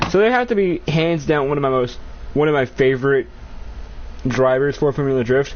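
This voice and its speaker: Amid noticeable background noise, a man talks at a fairly quick pace and fairly high pitch, with ordinary pitch variation, very even loudness, and long, frequent pauses. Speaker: gaming streamer. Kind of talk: live gameplay commentary. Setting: live stream. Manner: stuttering; casual, profane.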